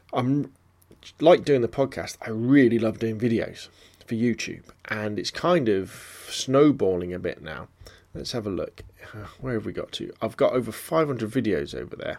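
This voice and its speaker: With a southern English accent, a man talks using lively intonation. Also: medium pitch for a man, moderate pace, big swings in loudness. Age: 40s. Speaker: photography podcaster. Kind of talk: casual solo podcast monologue.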